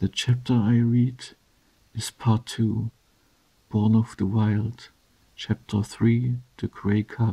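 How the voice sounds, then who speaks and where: A soft-spoken man with a German accent, dark and mellow in tone, somewhat breathy, flat and monotone, at a very slow pace with long, frequent pauses. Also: medium pitch for a man, dry, close sound with no echo. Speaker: ASMR creator. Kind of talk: reading aloud.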